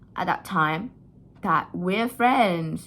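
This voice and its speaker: A woman with an Indonesian accent speaks very slowly in a bright, sharp tone, her fairly low voice rising and falling with lively intonation. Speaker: vlogger. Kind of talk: personal storytelling. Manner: casual, hesitant.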